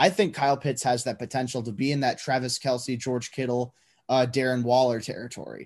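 Against a quiet background, a man talks at a moderate pace with medium pitch in a plain, everyday voice. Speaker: lead draft analyst, co-host. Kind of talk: casual banter, sports analysis.

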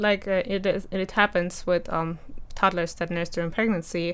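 A woman talks with a German accent at a moderate pace. Her pitch is medium. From Germany. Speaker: mother sharing personal story. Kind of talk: interview testimony.

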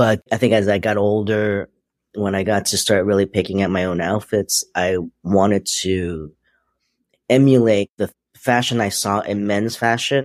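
In a very clean recording with a silent background and a dry, close sound with no echo, a man with an American accent speaks at a fairly slow pace in an unremarkable speaking voice, fairly low in pitch with fairly even intonation. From US, Queens, New York. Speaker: footwear designer and entrepreneur. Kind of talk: interview.

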